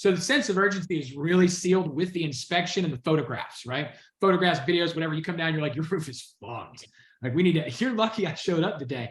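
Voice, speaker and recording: Talking at a very fast pace, a man with an American accent has a high pitch and an animated tone. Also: ordinary pitch variation. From US South, Georgia. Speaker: sales trainer. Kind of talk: training session on a video call. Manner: fast, pitchy.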